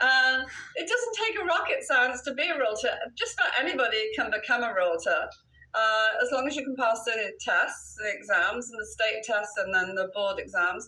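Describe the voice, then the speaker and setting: A woman with an English accent talks at a fairly quick pace over noticeable background noise. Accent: British, more English than Welsh. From Wales. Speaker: real estate broker. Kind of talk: interview.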